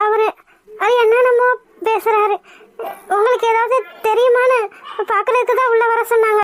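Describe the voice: In a cartoonish character voice, a woman speaks at an extremely high pitch with monotone, flat intonation and very even loudness. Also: moderate pace.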